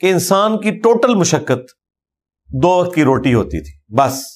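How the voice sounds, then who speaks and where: High male speech full of very wide pitch swings. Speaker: Islamic scholar. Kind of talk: religious sermon. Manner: heartfelt.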